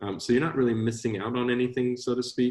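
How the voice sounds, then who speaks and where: A man is speaking here. His pace is fairly quick. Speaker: coding instructor. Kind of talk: online class Q&A. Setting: live online class. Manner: fast talker.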